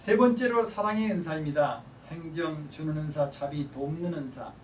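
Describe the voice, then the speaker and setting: The voice moves at a moderate pace with lively intonation. Audible room echo surrounds it. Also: man, fairly high pitch for a man. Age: 60s. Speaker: professor. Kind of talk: lecture.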